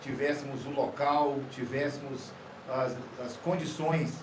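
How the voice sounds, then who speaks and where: A man's fairly high, monotone, flat voice at a very slow pace, with noticeable background noise and audible room echo. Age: 60s. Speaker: pastor. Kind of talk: podcast conversation. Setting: studio. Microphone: poor audio quality due to technical problems.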